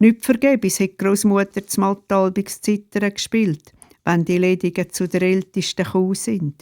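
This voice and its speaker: In a very clean recording with a silent background and a dry, close sound with no echo, a woman with an unremarkable speaking voice talks at a medium pitch and a fairly slow pace with fairly even intonation. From Switzerland, canton Glarus (Sernftal). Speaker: retired pastor and storyteller. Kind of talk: reading aloud of memoir stories.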